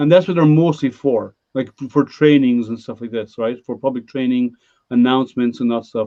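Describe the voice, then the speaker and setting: A man's medium-pitched voice at a moderate pace with ordinary pitch variation, an ordinary speaking voice. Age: 50s. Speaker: live stream host. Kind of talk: casual chat. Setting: live stream hangout.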